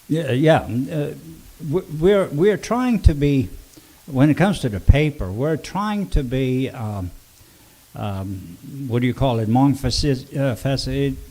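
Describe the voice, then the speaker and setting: Speaking with a Swedish accent, a man of medium pitch goes at a fairly slow pace with long, frequent pauses and very wide pitch swings. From Sweden. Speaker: local news publisher. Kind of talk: casual chat. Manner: halting, many fillers.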